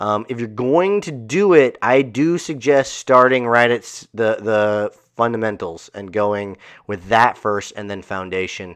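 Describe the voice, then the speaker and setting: A man talks at a fairly slow pace against a quiet background, in a normal speaking voice at medium pitch. His loudness swings widely, and his pitch varies in an ordinary way. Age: 30s. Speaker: martial arts school owner and podcast host. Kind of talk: solo podcast monologue. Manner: casual with many filler words.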